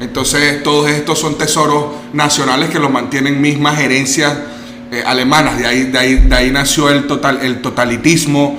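Audible room echo and noticeable background noise surround the speaker, a man. He talks at a moderate pace in a fairly high pitch with fairly even intonation. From Venezuela. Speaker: guest talking about investing abroad. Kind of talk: casual interview. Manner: halting, with many repetitions.

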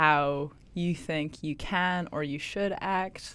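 Her pitch is very deep and low for a woman, her intonation monotone and flat, on a very clean recording with a silent background. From Scotland. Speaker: guest. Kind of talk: casual chat. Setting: studio. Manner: thoughtful, uses many fillers.

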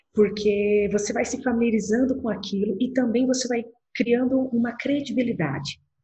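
This woman's voice is somewhat breathy and fairly high in pitch. She speaks at a moderate pace with ordinary pitch variation. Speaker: lawyer. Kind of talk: interview conversation. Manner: clear, objective.

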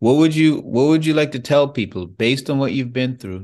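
A man's voice against a quiet background. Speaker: podcast host. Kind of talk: interview. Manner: casual, encouraging.

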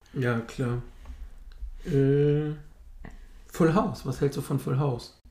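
Somewhat breathy speech moves at a very slow pace with long, frequent pauses and ordinary pitch variation. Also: man, fairly high pitch for a man. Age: 30s. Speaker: podcast co-host. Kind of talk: casual chat.

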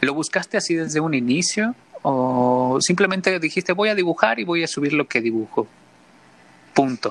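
At a moderate pace, a man uses an ordinary speaking voice with lively intonation. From Mexico, San Luis Potosí and Mexico City. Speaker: podcast host. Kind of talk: casual interview chat.

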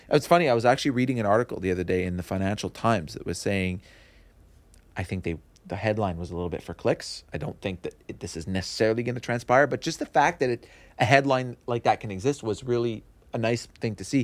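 Speaking at a very fast pace with a Montreal accent, a man uses lively intonation and big swings in loudness. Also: medium pitch for a man. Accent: Montreal anglophone Canadian English. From Montreal West Island, Quebec. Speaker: real estate broker. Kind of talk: interview.

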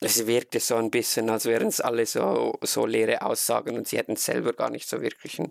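At a fairly quick pace, a man talks with a Swiss accent in a dry, close sound with no echo. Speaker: fan podcast host. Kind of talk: casual chat.

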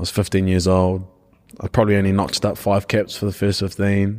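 With a New Zealand accent, a man talks at a moderate pace in a fairly low pitch. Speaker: rugby player. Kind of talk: casual chat.

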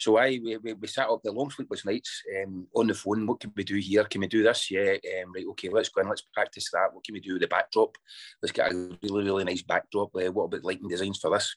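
A man with a Scottish accent at a very fast pace with hardly any pauses, in a very clean recording with a silent background and a dry, close sound with no echo. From Scotland. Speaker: bagpipe band founder and piper. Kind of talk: interview.

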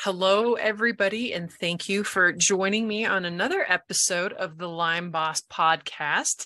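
A woman of medium pitch speaks in a bright, sharp tone at a moderate pace, with ordinary pitch variation and hardly any pauses. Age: 40s. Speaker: podcast host and health coach. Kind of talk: casual interview chat.

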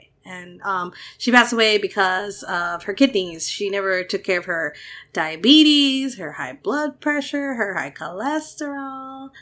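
A woman speaks at a fairly slow pace with a fairly high pitch and a bright, sharp tone, her pitch swinging very widely and her loudness shifting a lot. The recording is very clean with a silent background. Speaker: podcast co-host. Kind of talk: casual chat. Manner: giggly.

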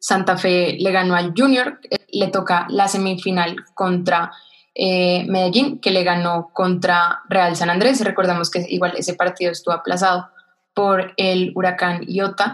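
Keeping her loudness very even, a woman with a normal speaking voice talks at a fairly slow pace in a fairly even intonation. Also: medium pitch for a woman. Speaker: sports podcast co-host. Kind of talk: casual chat.

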